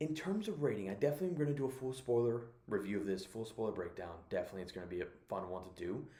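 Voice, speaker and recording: A man whispers at a very fast pace, with audible room echo around his voice. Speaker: movie reviewer. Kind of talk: casual review monologue. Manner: whispering; halting, many fillers.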